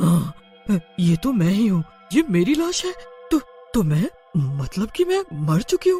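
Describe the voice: A cartoonish character voice with a dark, mellow tone and a slightly husky edge swings widely in pitch at a fairly slow pace. Faint music plays in the background.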